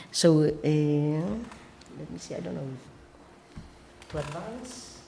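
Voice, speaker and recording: Fairly quick speech from a woman, with ordinary pitch variation. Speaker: chamber of commerce program officer. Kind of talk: presentation. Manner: animated.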